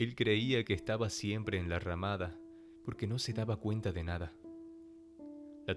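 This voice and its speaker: Music plays in the background as a man speaks at a moderate pace, with a fairly low pitch and ordinary pitch variation. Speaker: voice actor. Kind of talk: audiobook narration.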